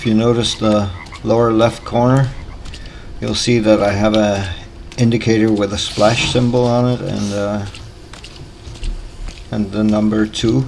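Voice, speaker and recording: Long, frequent pauses break up the fairly slow speech, with noticeable background noise throughout. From Denmark. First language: Danish. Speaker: gaming YouTuber. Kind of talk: gameplay tutorial commentary. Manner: hesitant, with filler pauses.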